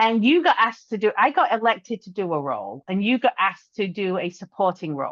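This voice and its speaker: In an English accent, the speech races at a very fast pace with hardly any pauses, very wide pitch swings, big swings in loudness, and a dry, close sound with no echo. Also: woman, medium pitch for a woman. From England. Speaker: podcast co-host, business owner. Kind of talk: casual chat.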